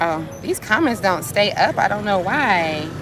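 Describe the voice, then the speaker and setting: A woman's animated tone over crowd noise in the background. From United States. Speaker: vlogger. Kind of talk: livestream vlog.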